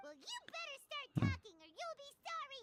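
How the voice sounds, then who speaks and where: This put-on character voice is squeaky and extremely high, with very wide pitch swings at a moderate pace. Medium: video game. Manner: loud, excitable.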